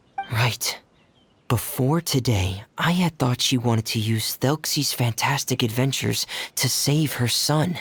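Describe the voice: Slow and husky with a rough edge, a put-on character voice has ordinary pitch variation.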